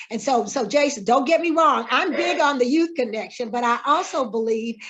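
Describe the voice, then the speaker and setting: A woman with a high pitch and normal pitch movement talks at a medium speed, with background noise clearly audible. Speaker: mayoral candidate. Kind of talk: candidate Q&A.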